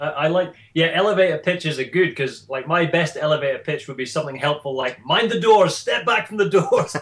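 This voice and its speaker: Speaking fairly quickly with hardly any pauses, a man with a Scottish accent uses a high pitch and ordinary pitch variation over noticeable background noise. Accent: mild Scottish, sounds nearly English. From Shetland, Scotland, raised by English parents. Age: 30s. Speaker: personal trainer. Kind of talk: interview. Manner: casual, animated.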